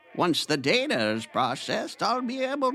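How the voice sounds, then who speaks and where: A man puts on a character voice pitched high, with faint music in the background. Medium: audio drama.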